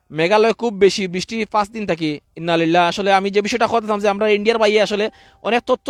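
A man talks in a high voice with ordinary pitch variation. The sound is dry and close, with no echo. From Sylhet, Bangladesh. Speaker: live streamer reporting on floods. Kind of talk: live outdoor stream report. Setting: outdoors by a river. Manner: casual, chatty.

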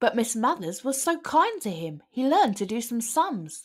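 Her pitch swings widely as she talks. The woman keeps a fairly slow pace.

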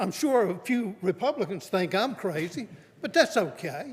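A man with a North Carolina accent speaks fairly slowly in a high voice. His pitch swings very widely. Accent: Southern US (North Carolina). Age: 70s. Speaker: public commenter. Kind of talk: public comment at county meeting. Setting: county board meeting room.

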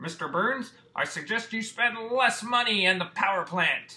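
At a moderate pace, the speaker uses a cartoonish character voice. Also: man, extremely high pitch for a man. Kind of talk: cartoon voice impression. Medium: solo performance. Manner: deferential, polite.

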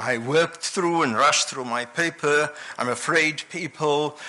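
The intonation is fairly even. It belongs to a man. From South Africa. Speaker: academic conference speaker. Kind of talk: lecture; panel discussion. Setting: stage with audience. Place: hall. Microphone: podium.

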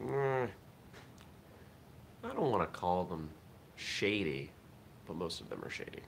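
Over light background noise, a man speaks at a fairly slow pace with a very deep, low pitch. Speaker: vlog host. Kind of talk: casual vlog chat. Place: home room. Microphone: webcam.

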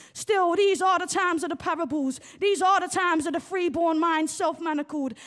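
A woman speaks with an extremely high pitch. The background is quiet. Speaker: poet and playwright. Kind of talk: spoken word poetry performance. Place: stage. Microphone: handheld.

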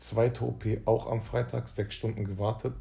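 Faint music plays in the background as a man speaks. His pitch is fairly low and his pace is moderate. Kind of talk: casual vlog chat. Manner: low, drowsy voice lying in bed. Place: home room. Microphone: phone near.

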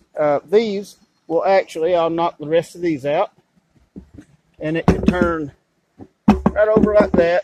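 The speech moves at a fairly slow pace in a dry sound with no echo, with noticeable background noise behind it. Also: man. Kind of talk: tutorial. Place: garden. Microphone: phone near.

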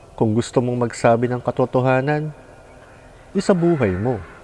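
A man speaks with a calm, dark and mellow tone at a medium pitch, his intonation lively. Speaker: vlogger. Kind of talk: reflective monologue.

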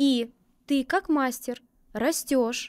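A woman's high-pitched voice against a quiet background. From Krasnodar, southern Russia; Russia. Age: 30s. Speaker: permanent makeup artist; guest. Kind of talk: interview. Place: studio. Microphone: studio mic.

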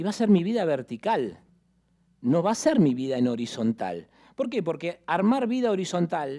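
Against a quiet background, a man with a high pitch and a dark, mellow tone speaks at a moderate pace with very wide pitch swings. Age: 50s. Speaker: real estate executive and lecturer; conference speaker. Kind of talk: conference presentation. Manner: animated. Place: hall. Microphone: headset.

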